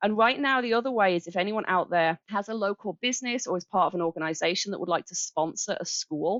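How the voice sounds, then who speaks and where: A woman with an English accent at a very fast pace, with hardly any pauses and ordinary pitch variation. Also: medium pitch for a woman. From England, Birmingham. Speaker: charity coordinator. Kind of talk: interview.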